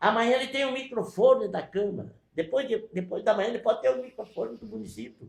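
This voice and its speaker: His pitch swings very widely. This man keeps to a moderate pace. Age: 70s. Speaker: mayor. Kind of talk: press conference. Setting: press conference in mayor's office. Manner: animated.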